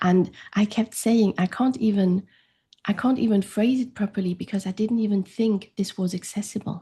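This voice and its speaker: Over a quiet background, a woman with a German accent speaks at a moderate pace in a dark, mellow, somewhat breathy tone with fairly even intonation. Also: medium pitch for a woman. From France. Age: 40s. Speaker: grief coach. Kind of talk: interview conversation.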